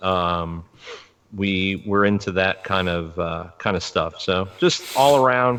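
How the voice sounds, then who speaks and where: A man talks at a fairly slow pace. His pitch is fairly low. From US Northeast, New York (Long Island). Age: 40s. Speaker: podcast co-host. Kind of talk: casual chat. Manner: halting.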